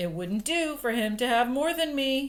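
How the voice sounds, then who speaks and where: A woman uses a put-on character voice, pitched high. She keeps a moderate pace with lively intonation. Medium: read story. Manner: soft, unsmiling.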